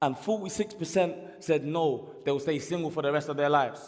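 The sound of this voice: A man talks at a fairly quick pace. His pitch is fairly high, with ordinary variation.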